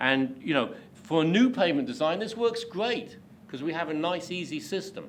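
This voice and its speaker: In a room with audible echo, a man with a high voice speaks at a moderate pace, his pitch swinging very widely. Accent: British. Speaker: pavement engineering expert, invited speaker. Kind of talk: lecture. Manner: hesitant, many fillers.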